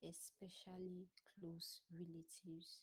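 A woman's somewhat breathy voice carries a dark, mellow tone, sitting at a fairly low pitch with monotone, flat intonation. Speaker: discussion panelist. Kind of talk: panel discussion contribution. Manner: hesitant, many fillers.

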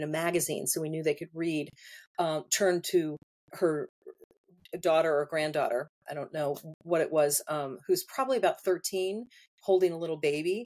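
In a plain, everyday voice, a woman talks at a fairly quick pace with a fairly low pitch. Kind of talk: casual interview chat.

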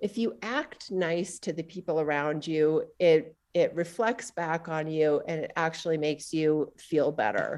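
A woman with an ordinary speaking voice, fairly low in pitch, at a fairly slow pace with ordinary pitch variation and hardly any pauses, against a quiet background. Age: 50s. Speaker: trail running coach and writer. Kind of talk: casual interview.

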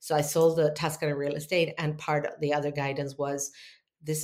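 A woman's very deep, low voice, fairly quick, with fairly even intonation. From Argentina. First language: Spanish. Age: 50s. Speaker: spiritual teacher and healer. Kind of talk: interview. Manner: halting.

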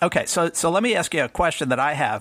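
With a slight New York accent, a man speaks at a moderate pace and ordinary pitch variation. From Bronx, New York. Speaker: tech writer. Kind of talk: casual chat.

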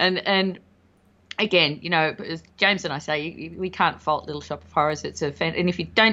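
A woman with an Australian accent speaks at a fairly quick pace in a fairly low pitch. Her pitch varies in an ordinary way while her loudness swings widely. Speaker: podcast co-host, guest. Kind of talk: casual chat. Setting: remote recording.

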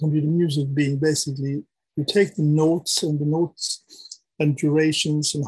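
Speaking at a moderate pace, a man with a fairly high pitch sounds somewhat breathy and monotone, with flat intonation, in a dry, close recording with no echo. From Sweden. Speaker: artist and academic. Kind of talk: casual interview.

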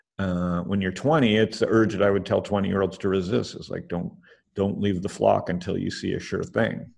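Using vocal fry, a man speaks at a moderate pace with a fairly low pitch and ordinary pitch variation. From Canada. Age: 50s. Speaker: angel investor. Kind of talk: interview.

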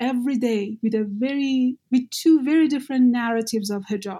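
The speaker has a Persian accent and a dark, mellow tone, using ordinary pitch variation at a moderate pace. The recording is very clean, with a silent background. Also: woman. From Iran. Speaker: activist and graduate student. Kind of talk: interview conversation.

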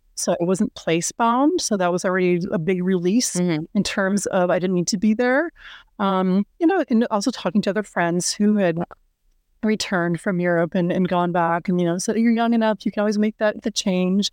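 A woman speaks in an American accent at a moderate pace with ordinary pitch variation and very even loudness. The sound is dry and close with no echo, over a quiet background. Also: medium pitch for a woman. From US Midwest, Minnesota. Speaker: career coach. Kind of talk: casual interview conversation.

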